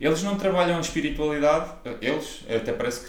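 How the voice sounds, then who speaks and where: Audible room echo surrounds a man as he talks. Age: 20s. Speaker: personal trainer and podcast co-host. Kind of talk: casual chat.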